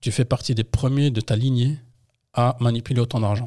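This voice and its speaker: Recorded very cleanly with a silent background and a dry, close sound without echo, a man speaks fairly quickly at a medium pitch, his dark, mellow tone somewhat breathy and his intonation fairly even. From France, Yvelines (78), Paris suburbs. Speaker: entrepreneur, former football coach. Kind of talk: interview.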